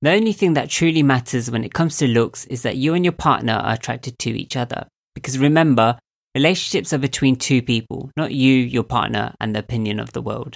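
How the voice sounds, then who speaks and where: A man talks at a very fast pace, his pitch sitting in the medium range. The recording is very clean with a silent background. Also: ordinary pitch variation. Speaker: mind coach and podcaster. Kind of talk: solo podcast monologue. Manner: earnest, encouraging.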